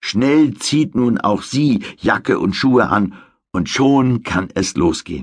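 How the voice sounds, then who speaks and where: A man at medium pitch speaks at a very slow pace with lively intonation and very even loudness against a quiet background. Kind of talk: audiobook narration of a children's story, bedtime-story style. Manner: measured, clear storytelling pace for young children.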